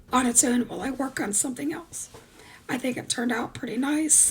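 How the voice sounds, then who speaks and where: A woman speaks in a high pitch with fairly even intonation. Noticeable background noise is present. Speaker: craft video creator. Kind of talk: tutorial. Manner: casual, many fillers.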